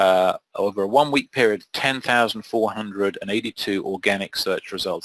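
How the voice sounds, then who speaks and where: In a British accent, a man speaks at a fairly quick pace, the sound dry and close with no echo. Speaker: SEO trainer. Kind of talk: webinar tutorial.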